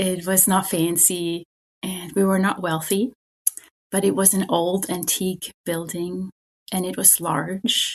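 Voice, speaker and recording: The voice has a German accent and is somewhat breathy. It moves at a fairly slow pace. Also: woman. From Germany. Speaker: spiritual director. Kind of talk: interview.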